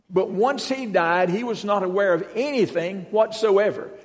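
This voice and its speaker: Speaking at a moderate pace with a Southern US accent, a man with a high pitch and ordinary pitch variation is heard with audible room echo. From Western North Carolina. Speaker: guest preacher. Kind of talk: sermon. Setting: church.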